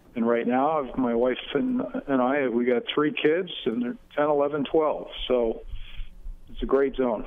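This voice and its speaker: In an upstate New York accent, the speaker talks at a fairly slow pace with ordinary pitch variation over noticeable background noise. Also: man, fairly high pitch for a man. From upstate New York, Finger Lakes. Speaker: political candidate. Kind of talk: radio interview. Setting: phone call. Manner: halting, many fillers.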